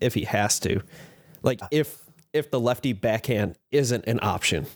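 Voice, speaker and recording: A man with an American accent has an unremarkable speaking voice at medium pitch, moving at a moderate pace with ordinary pitch variation in a very clean recording with a silent background and a dry, close sound with no echo. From Chicago area. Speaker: podcast co-host. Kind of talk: casual chat.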